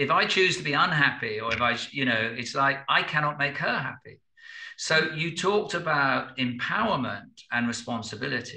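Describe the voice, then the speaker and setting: A man's fairly high voice at a moderate pace, with lively intonation. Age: 60s. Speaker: business consultant and spiritual teacher. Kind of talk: podcast interview. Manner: halting, with repeated words; reflective.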